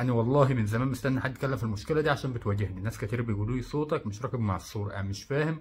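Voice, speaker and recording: A man's medium-pitched voice with an Egyptian accent, ordinary pitch variation, very fast pace and hardly any pauses. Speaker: reaction video creator. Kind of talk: comedic video commentary.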